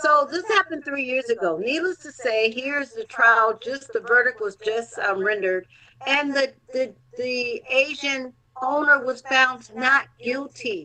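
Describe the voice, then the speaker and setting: Raising and projecting her high voice, a woman speaks at a fairly slow pace in a bright, sharp tone with lively intonation. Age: 60s. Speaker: health advocate. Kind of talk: casual chat.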